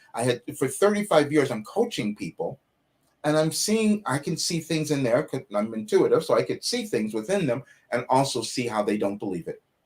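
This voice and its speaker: With a fairly high pitch and very wide pitch swings, a man talks at a moderate pace in a somewhat breathy voice. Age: 70s. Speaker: life coach and spiritual mystic. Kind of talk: interview conversation. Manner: halting.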